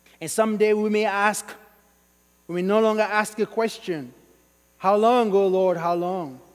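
A man with a Sierra Leonean accent at a high pitch, moderate pace and ordinary pitch variation, with long, frequent pauses. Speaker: pastor. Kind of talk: sermon. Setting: church.

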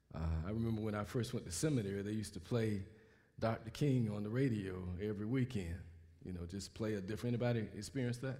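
This man speaks at a very fast pace with an American accent, fairly low pitch, and ordinary pitch variation. His tone is dark and mellow, and there is audible room echo. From US South, Mobile, Alabama. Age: 60s. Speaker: pastor. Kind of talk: sermon. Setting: church.

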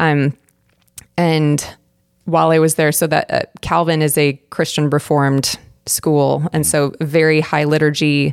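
Very deep and low, this woman's voice is monotone and flat with very even loudness and long, frequent pauses, in an American accent. The sound is dry and close with no echo. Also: fairly slow pace. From Arizona, Phoenix area. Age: 30s. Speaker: church deacon and women's Bible study leader. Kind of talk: testimony.

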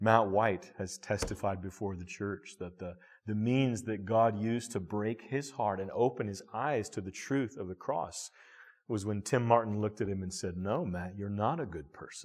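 Against a quiet background, a man speaks in an unremarkable speaking voice, fairly low, with ordinary pitch variation. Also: moderate pace. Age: 30s. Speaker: pastor. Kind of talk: sermon.

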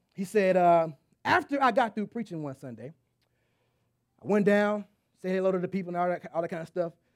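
Animated in tone, a man talks at a very fast pace. He has an American accent. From Texas. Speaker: pastor. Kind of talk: sermon. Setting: church.

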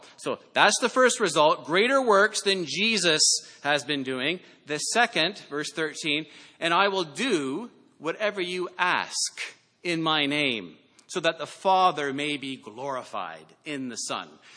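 This man has a high voice with a bright, sharp tone and a Canadian accent. He speaks at a fairly slow pace with lively intonation. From Canada. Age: 40s. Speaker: pastor. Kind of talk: sermon.

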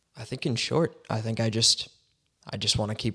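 A man with a western Canadian accent speaks at medium pitch in monotone, flat intonation. His pace is moderate, and the recording is very clean with a silent background. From Canada, Surrey, British Columbia. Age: young (19). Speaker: ministry intern. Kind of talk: testimony.

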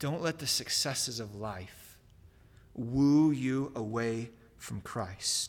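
Speech comes very slowly here, with pitch moving in an ordinary way. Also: man, medium pitch for a man. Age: 30s. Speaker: pastor. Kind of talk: sermon. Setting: church.

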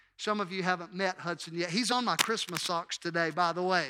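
In a very clean recording with a silent background, a man speaks at a high pitch with a bright, sharp tone. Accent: Mississippi. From Mississippi, Hattiesburg. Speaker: pastor. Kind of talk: sermon. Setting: church.

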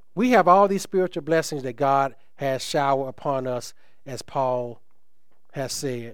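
At a moderate pace, a man speaks in an unremarkable speaking voice with a fairly high pitch and ordinary pitch variation. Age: 50s. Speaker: pastor. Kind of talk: sermon. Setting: church.

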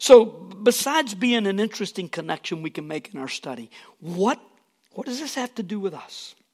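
High-pitched male voice at a moderate pace, very wide pitch swings and big swings in loudness. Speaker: preacher. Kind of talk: sermon. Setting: church with congregation.

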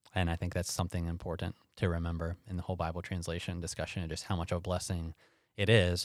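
Over a silent background in a very clean recording, a man talks very fast in a very deep, low voice with monotone, flat intonation. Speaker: pastor and Bible teacher. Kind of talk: interview conversation.

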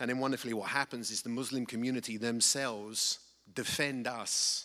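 Someone with an English accent talks at a fairly quick pace in a bright, sharp tone and a monotone, flat intonation, on a very clean recording with a silent background. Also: man. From England. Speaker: missionary, nonprofit director. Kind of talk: testimony / mission report. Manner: halting, many fillers.

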